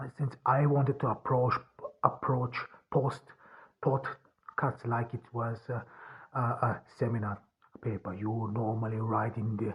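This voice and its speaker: Speaking with an Austrian accent, a man talks at a medium pitch and a fairly slow pace, with fairly even intonation and long, frequent pauses. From rural Austria. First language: German. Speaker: author and podcaster. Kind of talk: solo podcast monologue. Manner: halting, many fillers and restarts.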